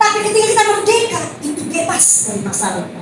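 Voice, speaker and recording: A woman with lively intonation speaks at a fairly quick pace, with audible room echo and noticeable background noise. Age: 60s. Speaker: preacher. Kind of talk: sermon. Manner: conversational, addresses congregation directly.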